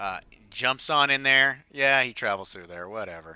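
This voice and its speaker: A man talks at a moderate pace with ordinary pitch variation in a plain, everyday voice. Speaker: game mod developer. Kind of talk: gameplay tutorial walkthrough. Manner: casual, filler-heavy.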